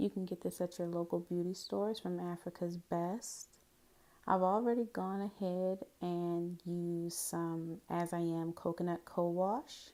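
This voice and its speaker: In a dark, mellow tone, a woman speaks at a fairly low pitch and fairly slow pace, with fairly even intonation. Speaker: hair vlogger. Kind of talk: hair tutorial talk to camera. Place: bathroom. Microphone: phone near.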